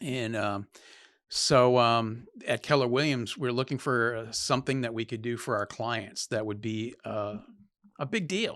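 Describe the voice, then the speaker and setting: Over a quiet background, the speaker moves at a fairly slow pace with fairly even intonation. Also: man, medium pitch for a man. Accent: Maine. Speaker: real estate agent. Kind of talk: podcast interview, storytelling.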